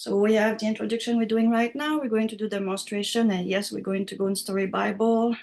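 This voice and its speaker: The voice carries a French accent and monotone, flat intonation. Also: woman. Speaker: writing software instructor. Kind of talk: online class tutorial.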